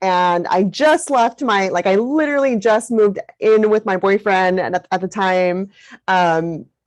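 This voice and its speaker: A woman's plain, everyday voice at medium pitch, with lively intonation and a fairly slow pace, over a quiet background. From US, Mexican-American family. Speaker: parent coach. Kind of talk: interview.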